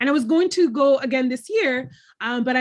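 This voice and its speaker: Ordinary pitch variation marks a woman's fairly quick, somewhat breathy speech. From Dominican family in the US. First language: Spanish. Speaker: author and podcaster. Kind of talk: interview. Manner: hesitant, many fillers.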